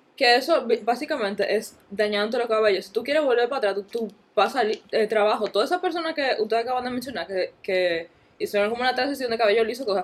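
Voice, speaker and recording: With noticeable background noise behind her, a woman talks at a very fast pace in a fairly high voice with lively intonation. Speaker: podcast guest. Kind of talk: casual chat.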